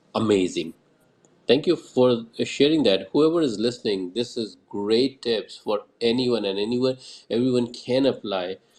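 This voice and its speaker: A man with a strong Indian accent, at a fairly slow pace. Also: medium pitch for a man, ordinary pitch variation. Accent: thick Indian. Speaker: Twitter Space host. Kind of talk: casual panel discussion. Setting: online audio space.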